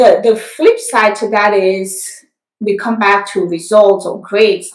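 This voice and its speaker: The woman's voice sits at a fairly high pitch. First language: French. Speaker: nurse practitioner. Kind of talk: interview.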